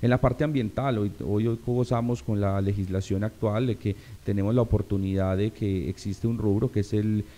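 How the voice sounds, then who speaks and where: Fairly low in pitch, a man talks at a moderate pace with a dark, mellow tone. His intonation stays fairly even. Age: 30s. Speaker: local politician, assembly candidate; local politician, candidate. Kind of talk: interview. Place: studio. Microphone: studio mic.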